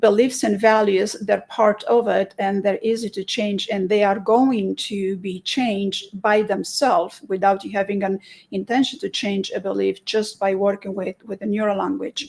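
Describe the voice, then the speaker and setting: A woman with a Romanian accent speaks at a moderate pace with hardly any pauses. Her pitch is medium and her intonation fairly even. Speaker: hypnotherapist. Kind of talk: interview. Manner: halting.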